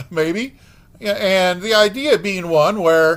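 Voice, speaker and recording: In a very clean recording with a silent background, a man speaks in a high voice with lively intonation. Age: 60s. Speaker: podcast host. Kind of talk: reflective monologue. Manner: halting, many fillers.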